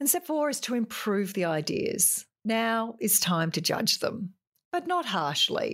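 A woman with an Australian accent speaks at a fairly slow pace and a fairly high pitch, her pitch swinging very widely while her loudness stays very even. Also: very clean recording, silent background. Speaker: podcast host giving business advice. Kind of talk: solo tutorial-style talk. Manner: forceful, opinionated.

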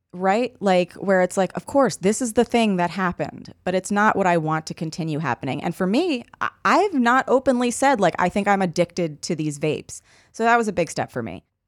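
In a very clean recording with a silent background, a woman with an unremarkable speaking voice and medium pitch talks at a fairly quick pace with lively intonation and hardly any pauses. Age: 30s. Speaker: podcast co-host and comedian. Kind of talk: casual chat.

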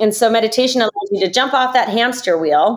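A woman with a fairly high pitch in a General American accent, at a moderate pace with ordinary pitch variation. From US, Idaho. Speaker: yoga instructor. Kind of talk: interview. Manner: animated.

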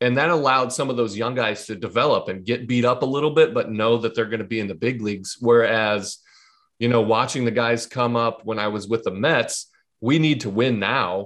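Against a quiet background, a man with an ordinary speaking voice talks at a fairly quick pace, his medium pitch showing ordinary variation. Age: 30s. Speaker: former pro baseball pitcher. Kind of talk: casual chat.

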